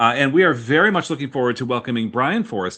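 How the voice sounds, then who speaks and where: With an American accent, a man speaks with vocal fry and very wide pitch swings. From northern US. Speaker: podcast co-host and author. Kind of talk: casual chat.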